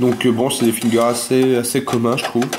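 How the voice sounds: Speaking at a fairly quick pace, a man uses a medium pitch and a slightly mellow tone with monotone, flat intonation. Audible room echo surrounds his voice.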